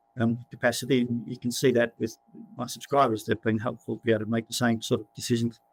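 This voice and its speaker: In an Australian accent, a man talks at a very fast pace with a medium pitch and a monotone, flat intonation, the sound dry and close with no echo. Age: 60s. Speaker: property cycle author and investment newsletter writer. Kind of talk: interview. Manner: halting, many repetitions.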